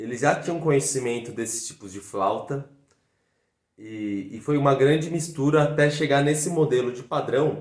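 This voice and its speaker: With a São Paulo accent, the speaker goes at a fairly slow pace with ordinary pitch variation, and room echo is audible. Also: man. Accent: Brazilian Portuguese, São Paulo (paulistano). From Brazil, São Paulo city. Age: 20s. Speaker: fife player and teacher. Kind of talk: video lesson.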